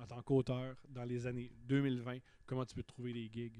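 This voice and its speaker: A man speaks at a medium pitch in a Quebec accent. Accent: Québécois French. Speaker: comedian. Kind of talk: casual chat. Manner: animated.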